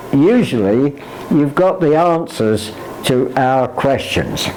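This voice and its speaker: Noticeable background noise surrounds a man speaking at a very slow pace. His intonation is lively. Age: 80s+. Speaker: computer learner. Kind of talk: interview answer. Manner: hesitant.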